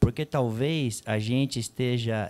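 Very slowly, a man speaks in a dark, mellow tone. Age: 50s. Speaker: psychologist and panel moderator; panel moderator. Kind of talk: moderated panel discussion at a seminar. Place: hall. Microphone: handheld.

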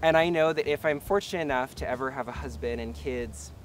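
Over light background noise, a man talks at a fairly quick pace with vocal fry in a dry sound with no echo. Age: 20s. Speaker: filmmaker and activist. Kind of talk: personal testimony. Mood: warm, heartfelt, upbeat. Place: garden.

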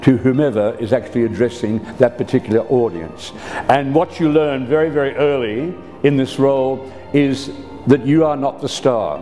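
A man at a moderate pace, with ordinary pitch variation and faint music in the background. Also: medium pitch for a man. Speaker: town crier. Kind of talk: interview answer. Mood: warm, good-humored. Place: office.

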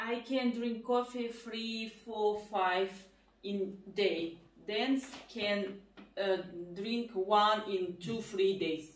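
With a Russian accent, a woman speaks very slowly at a fairly high pitch and with fairly even intonation, and audible room echo is present. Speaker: family vlogger. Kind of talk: casual chat. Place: kitchen. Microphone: camera far.

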